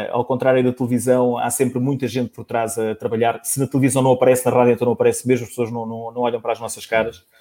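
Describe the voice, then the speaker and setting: The voice moves at a fairly quick pace, dark and mellow in tone, with monotone, flat intonation. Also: man. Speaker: sports radio journalist. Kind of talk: casual chat. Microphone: microphone initially off, technical problems.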